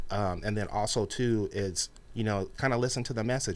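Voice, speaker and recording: A man with a fairly low voice and an American accent speaks at a fairly quick pace. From California, Ventura County; California. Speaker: hip-hop radio DJ. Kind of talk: casual interview. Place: studio. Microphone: studio mic.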